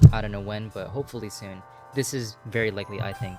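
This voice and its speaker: Over music in the background, a man talks at a medium pitch with fairly even intonation. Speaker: sim racing gamer. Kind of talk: casual gaming commentary voice-over. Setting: home microphone, static noise. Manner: casual, hesitant.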